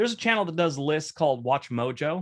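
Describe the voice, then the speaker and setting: A man is speaking. He has an American accent. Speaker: YouTube content creator. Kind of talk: casual interview Q&A. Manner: fast in his videos, with ums and pauses here.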